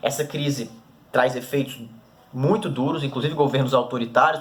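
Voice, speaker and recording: Talking at a fairly quick pace, a man has a fairly high pitch. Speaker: teacher. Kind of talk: recorded lesson. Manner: fast.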